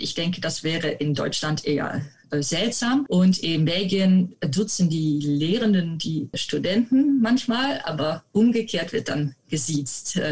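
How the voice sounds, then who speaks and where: Speaking very slowly with hardly any pauses, a woman with a Dutch accent swings her pitch very widely. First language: Dutch (speaking German). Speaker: medieval literature researcher. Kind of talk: interview. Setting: video call.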